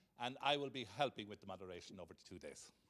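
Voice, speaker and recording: A man talks with an Irish accent. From Ireland. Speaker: conference co-moderator. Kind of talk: event moderation. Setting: conference hall with audience.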